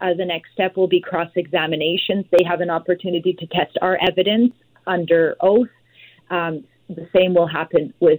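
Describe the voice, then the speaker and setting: The speaker talks in a normal speaking voice at a moderate pace. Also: woman. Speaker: lawyer. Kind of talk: radio interview.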